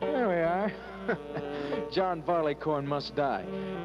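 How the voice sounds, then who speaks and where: Music plays in the background as a man talks at a fairly high pitch with very wide pitch swings. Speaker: progressive rock radio DJ. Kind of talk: radio DJ patter.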